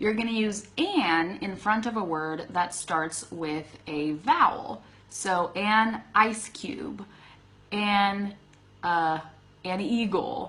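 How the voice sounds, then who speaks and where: Over noticeable background noise, a woman at medium pitch talks at a very slow pace with lively intonation. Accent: American. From US West, Sacramento California. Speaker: English teacher. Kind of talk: live stream Q&A lesson. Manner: casual, with frequent fillers.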